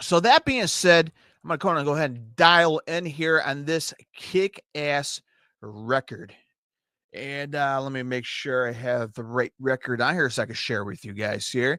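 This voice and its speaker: A fairly high male voice with a Chicago accent, animated in tone yet fairly slow in pace, bright and sharp, with ordinary pitch variation and a very clean, dry, close recording with a silent background and no echo. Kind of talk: casual music review.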